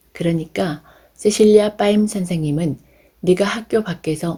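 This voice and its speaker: A woman talks at a fairly slow pace in a somewhat breathy voice with a dark, mellow tone and ordinary pitch variation. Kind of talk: audiobook reading.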